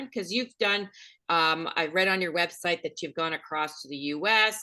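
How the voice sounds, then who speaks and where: Against a quiet background, a woman with a fairly low pitch and a bright, sharp tone speaks at a moderate pace. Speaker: podcast host, medium. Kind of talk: podcast interview questions. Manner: upbeat.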